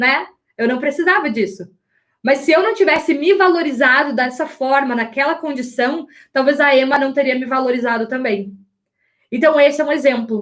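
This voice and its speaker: Loud and animated, a woman speaks at high pitch and a moderate pace with ordinary pitch variation. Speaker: image and style coach. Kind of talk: live online class. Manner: loud, uneven volume.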